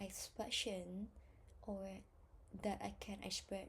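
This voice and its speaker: A woman speaks with a Vietnamese accent. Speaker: English test learner. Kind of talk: self-study practice session. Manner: halting, hesitant.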